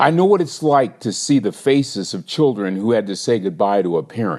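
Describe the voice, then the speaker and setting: The background is quiet as a man talks at a moderate pace. His medium-pitched voice has very wide pitch swings. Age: 60s. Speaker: inspirational speaker and minister. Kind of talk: motivational podcast monologue.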